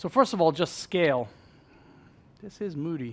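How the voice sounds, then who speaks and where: The recording is very clean with a silent background as a man talks at a fairly quick pace. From US Northeast, New York. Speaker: fintech speaker. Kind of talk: conference presentation. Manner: fast; loud.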